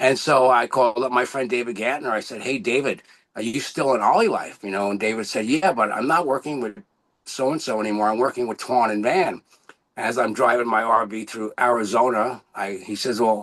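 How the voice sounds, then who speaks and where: Here a man of medium pitch speaks at a fairly quick pace. His pitch varies in an ordinary way. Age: 60s. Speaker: network marketing coach, former acupuncturist. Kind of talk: motivational testimony on a business call. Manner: animated, enthusiastic.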